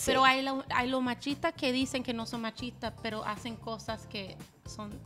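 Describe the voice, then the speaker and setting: Faint background music under a high-pitched woman with fairly even intonation. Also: moderate pace. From United States. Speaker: Spanish-language radio host; podcast guest, radio host. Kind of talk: interview answer. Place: studio. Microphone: studio mic.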